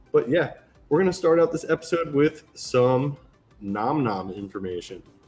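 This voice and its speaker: A man speaks at a moderate pace in a fairly high voice, his pitch swinging very widely. Music plays in the background. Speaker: gaming podcast host. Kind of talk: casual chat. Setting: live stream podcast.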